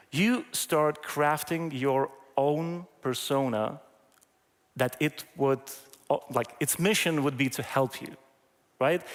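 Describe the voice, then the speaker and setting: A man with a non-native accent and a fairly high pitch speaks very slowly, with long, frequent pauses. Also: ordinary pitch variation. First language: not English. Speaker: AI trainer, conference keynote speaker. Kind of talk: conference talk. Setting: stage with audience. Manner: hesitant, many fillers.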